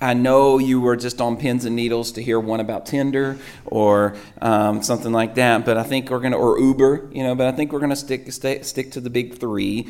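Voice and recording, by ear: At a moderate pace, a man talks in a medium-pitched, slightly mellow voice with ordinary pitch variation.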